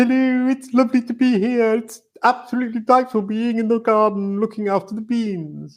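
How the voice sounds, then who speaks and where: A man puts on a character voice with an extremely high pitch. He talks at a fairly quick pace. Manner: warm and delightful.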